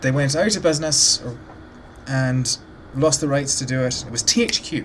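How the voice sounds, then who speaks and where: Noticeable background noise accompanies talk at a moderate pace. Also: man. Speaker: gaming YouTuber. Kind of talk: let's play commentary. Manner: casual, filler-heavy.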